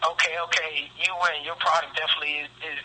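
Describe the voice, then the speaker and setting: A man talks at a very fast pace in a fairly high voice. Noticeable background noise runs underneath. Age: 30s. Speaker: sheriff's office deputy and health product distributor. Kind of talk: radio interview answer.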